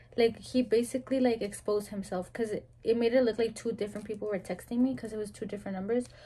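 A woman with a fairly high pitch speaks very fast in a dark, mellow tone. Her somewhat breathy delivery stays monotone and flat. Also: hardly any pauses. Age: 20s. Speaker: YouTuber's girlfriend. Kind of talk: casual chat. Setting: home video recording. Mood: relaxed storytelling. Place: home room. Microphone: phone near.

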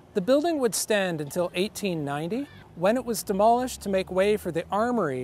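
Lively in intonation and moderate in pace, a man's high voice comes through dry with no echo and light background noise. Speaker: architectural historian tour guide. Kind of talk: lecture. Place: street. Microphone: lapel.

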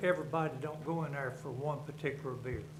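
A man with a Southern US accent talks at a fairly slow pace in a fairly high pitch for a man, his intonation monotone and flat, with audible room echo and noticeable background noise. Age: 70s. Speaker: resident speaking at public comment. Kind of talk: public comment at a government meeting. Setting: county board meeting room. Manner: halting.

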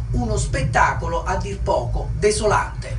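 Noticeable background noise behind a man's voice. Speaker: TV news reporter. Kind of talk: TV news report. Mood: formal, somber news tone. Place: open country.

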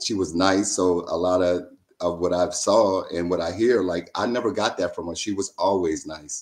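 The man's pitch is very deep and low. He keeps a moderate pace and fairly even intonation. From Louisiana. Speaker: reality TV contestant. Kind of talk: casual interview. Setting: video call. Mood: relaxed, reflective. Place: home room. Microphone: video call.

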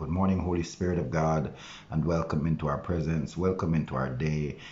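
Over light background noise, a man talks with vocal fry and fairly even intonation. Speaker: pastor. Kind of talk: prayer. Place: home room. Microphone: phone near.

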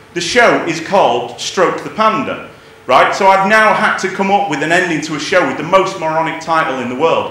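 A man's high-pitched voice at a moderate pace, ordinary pitch variation, light background noise and audible room echo. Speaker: stand-up comedian. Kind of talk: stand-up comedy routine. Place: stage.

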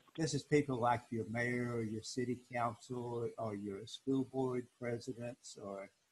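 A somewhat breathy male voice, fairly slow and fairly even in intonation. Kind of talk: tutorial. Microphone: video call.

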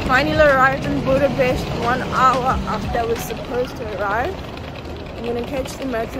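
Loud background noise runs under a dry sound with no echo, the pace moderate and the pitch variation ordinary. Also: woman. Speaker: student traveller vlogger. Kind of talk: casual vlog chat. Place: station. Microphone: phone near.

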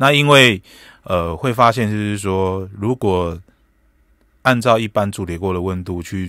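Dry with no echo and a quiet background, a man speaks at a fairly slow pace with long, frequent pauses. His pitch is fairly low and his tone bright and sharp. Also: ordinary pitch variation. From Taiwan. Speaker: chef; guest. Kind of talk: radio interview. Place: studio. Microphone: studio mic.

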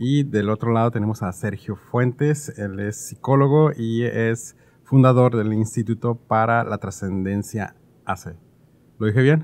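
His pitch shows ordinary variation. The man's pace is fairly slow. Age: 30s. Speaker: podcast host. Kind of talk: casual interview chat. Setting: studio. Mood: friendly, light. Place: studio. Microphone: studio mic.

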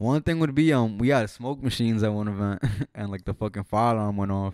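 A man with an American accent speaks at a fairly low pitch and a moderate pace, with ordinary pitch variation. The sound is dry with no echo, and the background is quiet. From North Jersey, US. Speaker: music artist and clothing entrepreneur; podcast guest. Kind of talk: casual chat. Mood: relaxed, casual. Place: home room. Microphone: handheld.

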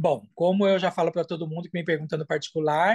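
Against a quiet background, a man talks at a fairly quick pace and a high pitch. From Brazil, São Paulo. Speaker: language student giving testimonial. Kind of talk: testimony interview. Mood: warm, enthusiastic. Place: home room. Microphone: video call.

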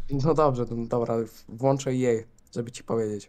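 A man speaks at a moderate pace. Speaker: streamer friend on Discord. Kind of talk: casual banter. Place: home room.

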